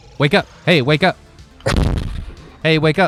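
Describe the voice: A man uses a breathy, put-on character voice with a fairly high pitch, speaking quietly at a moderate pace. Music plays in the background.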